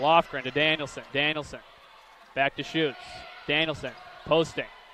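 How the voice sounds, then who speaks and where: A man talks at a fairly high pitch and a moderate pace. His intonation is monotone and flat, with noticeable background noise behind him. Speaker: sports play-by-play announcer. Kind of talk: basketball play-by-play commentary.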